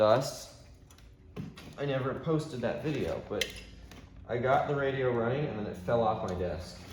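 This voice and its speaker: At a moderate pace and a medium pitch, a man talks with ordinary pitch variation and long, frequent pauses, while noticeable background noise and audible room echo surround him. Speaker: radio restoration hobbyist. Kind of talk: tutorial. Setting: home workshop. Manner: casual, filler-heavy.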